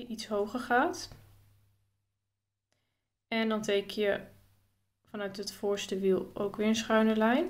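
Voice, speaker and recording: Speaking at a very slow pace with long, frequent pauses, a woman uses a fairly high voice and ordinary pitch variation. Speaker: drawing tutorial vlogger. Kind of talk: casual tutorial talk to camera.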